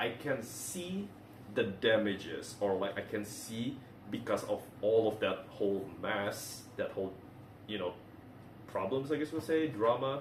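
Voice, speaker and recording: With a non-native accent, a man talks at a fairly slow pace amid audible room echo. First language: not English. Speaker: movie reviewer. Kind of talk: casual video review. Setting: recording at home in a bathroom. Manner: halting, many fillers and restarts.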